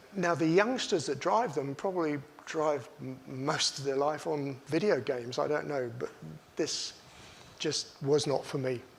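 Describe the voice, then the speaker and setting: A man speaks at a fairly slow pace with lively intonation. Audible room echo surrounds his voice. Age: 70s. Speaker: racing driver. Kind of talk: talk to an audience. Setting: stage with audience.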